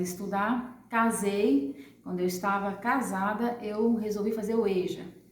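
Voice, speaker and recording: A woman with a medium pitch is heard with audible room echo and noticeable background noise. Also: hardly any pauses. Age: 40s. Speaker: adult education former student. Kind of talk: testimony.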